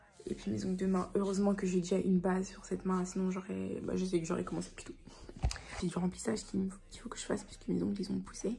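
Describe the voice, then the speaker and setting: A woman talks at a very fast pace yet leaves long, frequent pauses. Noticeable background noise runs behind her. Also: big swings in loudness. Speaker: vlogger. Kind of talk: casual vlog. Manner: animated.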